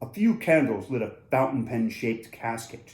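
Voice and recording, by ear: Text read aloud in a natural voice.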